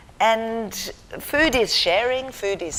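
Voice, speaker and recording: A very slow delivery with ordinary pitch variation. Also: woman. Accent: South African. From South Africa. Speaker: charity founder. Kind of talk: lecture. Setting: university theatre with audience. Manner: halting.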